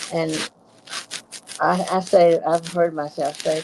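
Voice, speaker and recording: A woman talks at a fairly slow pace in a very deep, low pitch, with noticeable background noise behind her. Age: 80s+. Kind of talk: casual chat. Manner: halting.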